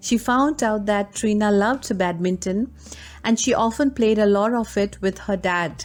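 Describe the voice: A plain read-aloud delivery, pitch moving in an ordinary way.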